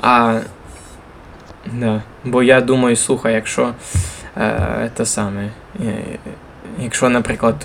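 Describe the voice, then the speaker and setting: Very slow speech with long, frequent pauses and fairly even intonation, over noticeable background noise. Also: man, medium pitch for a man. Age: 20s. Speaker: podcast host, church worker. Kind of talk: casual chat.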